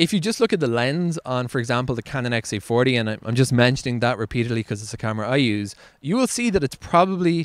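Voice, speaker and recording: A man speaks in a dry sound with no echo. The background is quiet. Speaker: video creator. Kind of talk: casual vlog chat. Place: open country. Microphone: handheld.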